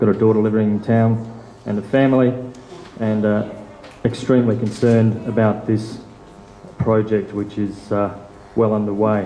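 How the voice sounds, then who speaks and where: There is music in the background and audible room echo. A man with a fairly low pitch speaks at a moderate pace in a monotone, flat intonation, with long, frequent pauses. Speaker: local Greens party convener. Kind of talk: public meeting question. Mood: concerned, earnest. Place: meeting room. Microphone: handheld.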